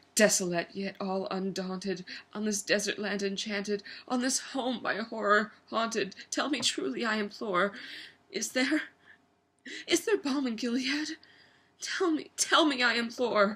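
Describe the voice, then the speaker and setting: A woman with a bright, sharp tone and fairly high pitch speaks at a fairly slow pace with lively intonation and long, frequent pauses. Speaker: actor. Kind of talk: dramatic poetry reading.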